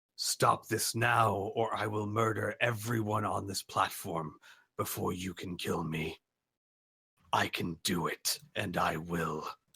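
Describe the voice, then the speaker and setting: A man uses a put-on character voice that is raspy and booming, fairly low in pitch, and he talks at a fairly slow pace. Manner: threatening.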